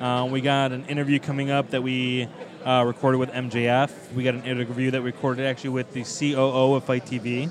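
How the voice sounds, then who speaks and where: Noticeable background noise sits behind this man's voice. He speaks at a medium pitch and a fairly quick pace with an American accent. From Chicago, US Midwest. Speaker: wrestling podcaster and writer. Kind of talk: casual chat.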